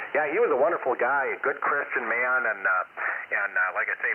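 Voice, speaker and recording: Noticeable noise sits in the background. The speaker is a man. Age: 60s. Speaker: amateur radio operator. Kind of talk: casual chat. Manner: halting.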